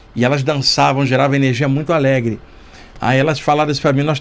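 A man's voice with fairly even intonation. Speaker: podcast guest. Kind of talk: storytelling interview answer. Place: studio. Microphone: studio mic.

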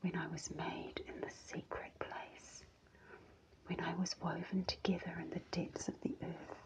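The voice whispers, moving at a fairly slow pace. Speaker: scripture reader. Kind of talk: devotional scripture reading. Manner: soft, hushed ASMR reading voice.

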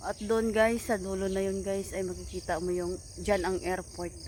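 With noticeable background noise behind her, a woman speaks at a moderate pace. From Philippines, Visayas. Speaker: vlogger, overseas worker. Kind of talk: casual vlog narration. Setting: outdoors on a farm.

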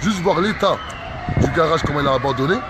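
A man talking at a very fast pace, with crowd noise in the background. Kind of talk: impassioned street commentary. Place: street.

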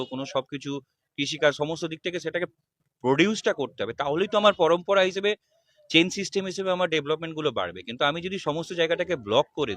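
The sound is dry, with no echo. Pitch variation is ordinary. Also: man. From West Bengal. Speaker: political party worker. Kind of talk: interview. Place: street. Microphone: handheld.

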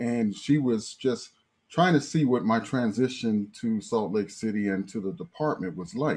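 A man speaks with lively intonation. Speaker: guest, professor. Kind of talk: panel discussion storytelling. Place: home room. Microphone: video call.

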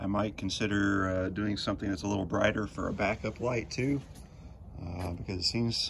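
Against light background noise, a somewhat breathy voice talks at a moderate pace with fairly even intonation. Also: man, fairly low pitch for a man. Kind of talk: casual vlog chat. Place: street. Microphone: phone near.

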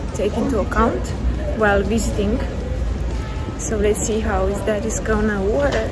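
Speech comes at a fairly slow pace with clear music playing in the background. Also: woman. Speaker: travel vlogger. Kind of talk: casual vlog chat. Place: station. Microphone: phone near.

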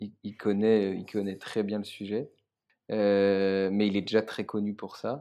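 A man with a fairly low pitch and a dark, mellow tone talks at a very slow pace in a monotone, flat delivery over a quiet background. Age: 20s. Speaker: startup co-founder. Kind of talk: casual interview. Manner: halting, many fillers and repetitions.

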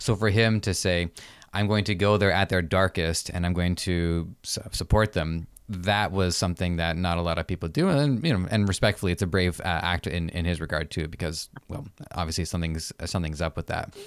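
In a very clean recording with a silent background, a man with a low pitch speaks at a fairly quick pace, his tone clear and smooth and his intonation fairly even.

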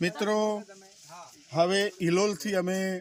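The man speaks at a high pitch. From Gujarat, India (Himmatnagar, Sabarkantha). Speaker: papaya farming vlogger. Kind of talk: walk-through farm vlog. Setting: outdoors on farms. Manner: repetitive, conversational.

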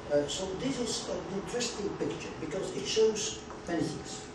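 With noticeable background noise and audible room echo, the man's speech proceeds at a moderate pace. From Belgium. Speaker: urban planner. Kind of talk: lecture. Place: meeting room. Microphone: camera far.

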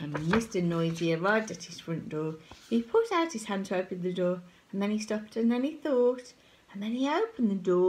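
Lively intonation runs through it. The voice reads in an unforced way.

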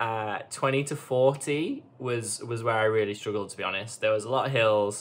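A man talking at a fairly slow pace. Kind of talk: casual vlog chat. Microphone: phone near.

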